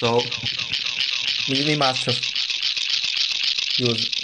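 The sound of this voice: Speaking slowly, a man keeps to a medium pitch. Audible room echo and clear background noise surround him.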